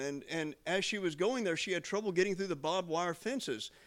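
An animated man with a high voice, lively intonation and a fairly quick pace, on a very clean recording with a silent background. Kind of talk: sermon. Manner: rambling, informal storytelling, repeating "I mean" and "you know".

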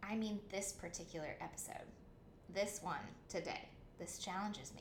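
A woman at a medium pitch speaks at a moderate pace, with noticeable background noise and audible room echo. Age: 30s. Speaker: podcast host and author. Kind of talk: scripted narration.

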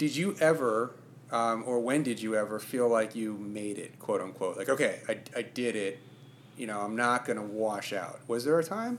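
This man has a normal speaking voice at a medium pitch, speaking at a moderate pace with ordinary pitch variation. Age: 40s. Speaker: podcast host. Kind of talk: interview conversation.

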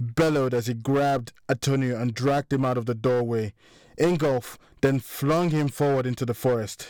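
The speaker simply reads aloud in a plain way.

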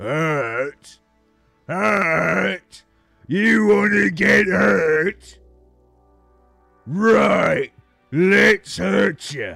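A man with a fairly high voice speaks in a menacing tone at a very slow pace, his pitch swinging very widely. He takes long, frequent pauses over faint background music. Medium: actual play. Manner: shouting, menacing.

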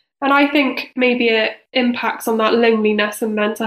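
Fairly slow speech from a woman with a Cardiff accent and a fairly high pitch. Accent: Welsh (Cardiff). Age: 30s. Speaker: charity director and co-founder. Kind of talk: casual interview.

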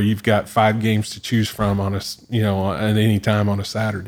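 A man with an American accent speaks at a moderate pace. The recording is very clean, with a silent background. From Southeastern Oklahoma. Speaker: university athletic director. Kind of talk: interview.

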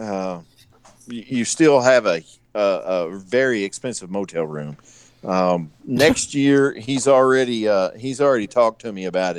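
Big swings in loudness run through a man's unremarkable speaking voice, delivered at a fairly slow pace and medium pitch with lively intonation. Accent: American. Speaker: knifemaker and former Navy boarding officer. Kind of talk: casual chat, joking banter. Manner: joking, irreverent.

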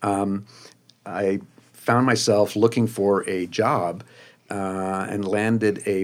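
A man with a New Jersey accent, fairly low pitch and monotone, flat intonation, on a very clean recording with a silent background. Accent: New Jersey American. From US Northeast, New Jersey suburbs. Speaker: magazine design director. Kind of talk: interview.

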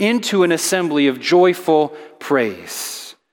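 A man talks at a fairly high pitch. Noticeable background noise sits behind him. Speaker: elder and preacher. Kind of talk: sermon with scripture reading aloud; solemn psalm reading in a church. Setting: church. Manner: earnest, reverent, lamenting then rising to praise.

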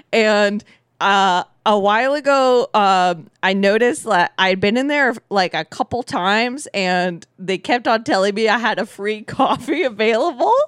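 A woman's fairly high-pitched, lively voice with an American accent, an ordinary speaking voice at a fairly slow pace, dry and close with no echo, on a very clean recording with a silent background. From Southern California. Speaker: podcast guest. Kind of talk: casual chat.

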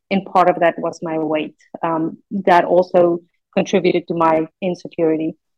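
At a moderate pace, a woman talks in a fairly low pitch with monotone, flat intonation. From South Africa. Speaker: bariatric surgery patient, business executive. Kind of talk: personal testimony in interview.

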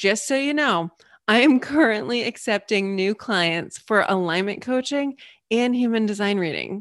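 A plain, everyday voice from a woman, fairly high-pitched, with lively intonation. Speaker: meditation guide and coach. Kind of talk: guided meditation. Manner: soft, slow, soothing; warm, gentle and encouraging.

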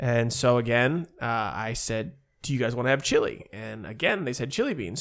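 On a very clean recording with a silent background, a man with an American accent talks at medium pitch and a moderate pace, with ordinary pitch variation. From Ohio, US Midwest. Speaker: podcast host. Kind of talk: casual chat. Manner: loud.

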